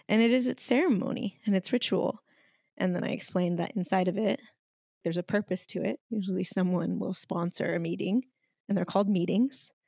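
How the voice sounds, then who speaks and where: Dark and mellow with vocal fry, a woman's medium-pitched voice moves at a fairly quick pace with ordinary pitch variation, captured in a very clean recording with a silent background and a dry, close sound with no echo. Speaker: podcast co-host. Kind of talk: casual chat. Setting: at home by a fireplace.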